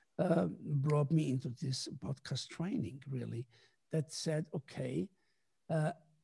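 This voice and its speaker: A man with a fairly high pitch and a dark, mellow tone speaks at a very slow pace with lively intonation and vocal fry, in a dry, close sound with no echo. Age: 70s. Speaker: musician and composer. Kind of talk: interview.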